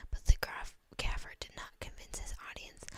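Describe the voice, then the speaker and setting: Whispering at a moderate pace. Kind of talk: book reading. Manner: whispered.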